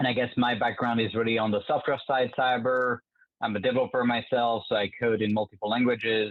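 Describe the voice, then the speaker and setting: In a French accent, a man speaks quite quickly at medium pitch with monotone, flat intonation. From France. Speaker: government software executive. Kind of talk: podcast interview. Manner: hesitant with fillers.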